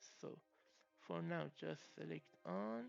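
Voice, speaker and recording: Over music in the background, a man in a non-native accent talks at a very slow pace with very wide pitch swings. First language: not English. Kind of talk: tech tutorial voiceover.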